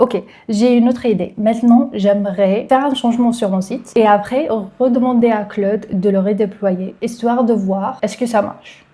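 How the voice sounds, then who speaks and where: Her somewhat breathy, fairly high-pitched voice has a dark, mellow tone, fairly even intonation and a moderate pace. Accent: French. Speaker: tech YouTuber, developer. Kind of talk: tutorial.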